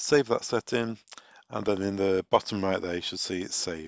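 With vocal fry, a man speaks at a fairly slow pace in a dry, close sound with no echo.

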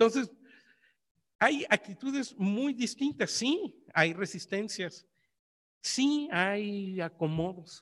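With a high voice and lively intonation, a man talks at a very slow pace, pausing long and often. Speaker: historian researcher. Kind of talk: academic conference talk.

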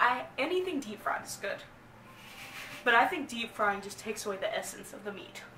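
Against light background noise and audible room echo, a woman speaks at a moderate pace. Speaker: vlogger host. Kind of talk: casual vlog chat. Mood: playful, joking. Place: home room. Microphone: camera far.

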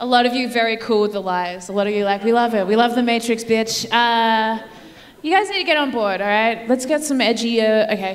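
With an Australian accent, a woman speaks at a fairly quick pace in a fairly high pitch, using ordinary pitch variation. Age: 30s. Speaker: comedian. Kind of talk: stand-up. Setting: stage with audience. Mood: playful, mock-sincere. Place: stage. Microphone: handheld.

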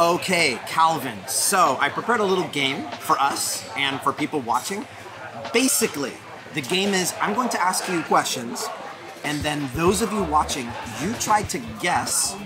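Crowd noise fills the background as a man talks at a moderate pace. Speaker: food vlog host. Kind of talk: casual vlog chat. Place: street.

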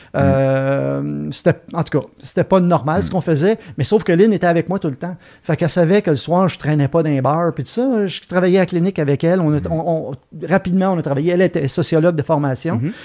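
Over a quiet background, a man with a fairly high pitch and a dark, mellow tone talks at a fairly quick pace with ordinary pitch variation. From Quebec. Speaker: retired veterinarian; podcast guest. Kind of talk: casual chat. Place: studio. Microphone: studio mic.

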